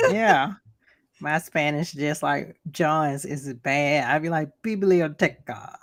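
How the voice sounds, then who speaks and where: Her voice is very deep and low, with ordinary pitch variation and a very slow pace. The recording is very clean, with a silent background. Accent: Southern. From US South, Georgia. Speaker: podcast co-host. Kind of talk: casual chat.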